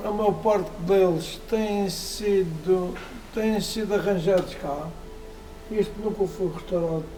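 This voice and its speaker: A man with a high-pitched voice speaks very slowly and fairly evenly over background music, with audible echo in the room. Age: 70s. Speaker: classic car collector. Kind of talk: casual interview. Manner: halting, with repetitions and fillers.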